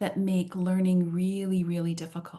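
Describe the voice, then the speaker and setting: The voice has a dark, mellow tone, is somewhat breathy, and carries a Canadian accent. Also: woman. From Canada. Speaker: trainer and workshop facilitator. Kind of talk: online workshop roundtable. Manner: animated.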